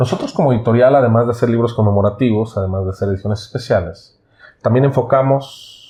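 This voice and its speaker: A man with a Mexican accent talks at a fairly quick pace. His tone is dark and mellow and somewhat breathy. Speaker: interviewer for a publisher. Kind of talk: interview. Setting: on camera.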